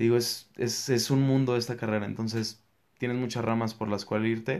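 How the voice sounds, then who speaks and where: Monotone, flat intonation comes through a very clean recording with a silent background. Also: man. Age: 20s. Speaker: young entrepreneur and business student. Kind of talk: interview.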